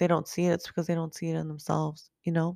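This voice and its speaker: The intonation is monotone and flat. The sound is dry and close with no echo, over a quiet background. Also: woman. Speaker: podcast host; life coach. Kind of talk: solo podcast monologue, casual and advice-giving. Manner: casual, hesitant with fillers.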